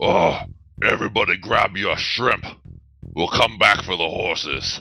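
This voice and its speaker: Over music in the background, a man does a raspy, put-on character voice at a moderate pace. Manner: sneering, wicked.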